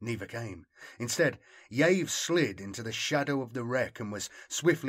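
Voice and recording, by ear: Someone reads aloud in a natural voice. The intonation moves in a lively way.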